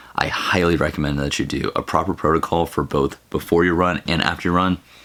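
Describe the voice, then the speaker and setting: Very deep and low in pitch, a man rattles along at a very fast pace in a monotone, flat intonation over noticeable background noise. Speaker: fitness vlogger, marathon runner. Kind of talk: casual vlog.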